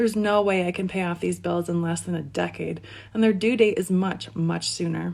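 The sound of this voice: This is an unforced reading voice. The delivery stays natural throughout.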